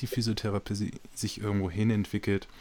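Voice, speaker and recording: A man with a normal speaking voice talks at a moderate pace, his pitch fairly low. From Switzerland. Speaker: podcast host. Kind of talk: interview.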